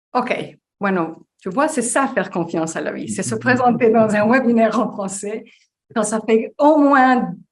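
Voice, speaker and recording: A woman speaks at a fairly slow pace with a Spanish accent. Her voice is somewhat breathy, fairly high in pitch, with ordinary pitch variation. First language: Spanish (speaking French). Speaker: life coach. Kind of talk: webinar interview.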